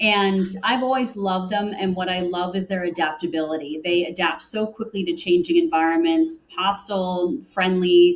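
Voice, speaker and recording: A woman with an ordinary speaking voice and medium pitch talks at a moderate pace with ordinary pitch variation and hardly any pauses. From US Northeast, Connecticut. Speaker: corporate sustainability director. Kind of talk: interview.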